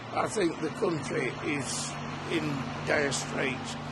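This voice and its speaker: A man with a fairly high pitch and ordinary pitch variation speaks at a very slow pace amid audible room echo and noticeable background noise. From Liverpool. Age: 60s. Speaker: local resident. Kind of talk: street interview.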